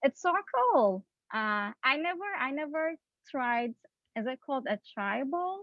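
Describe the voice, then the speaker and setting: With a Turkish accent, a woman talks at a high pitch and a fairly slow pace, her pitch swinging very widely between long, frequent pauses. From Turkey, Istanbul. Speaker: PhD student scientist. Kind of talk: educational outreach talk on video call.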